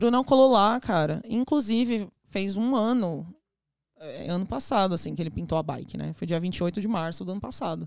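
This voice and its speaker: Using an ordinary speaking voice, a woman talks at medium pitch and a moderate pace. Her intonation is lively. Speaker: ice pop business owner. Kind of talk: casual chat.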